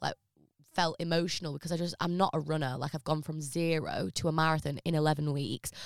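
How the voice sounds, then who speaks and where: A woman with an English accent and a very deep, low pitch, fairly quick in pace and fairly even in intonation, in a dry, close sound with no echo and a very clean recording with a silent background. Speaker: business consultant and former reality TV contestant. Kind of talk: casual interview chat.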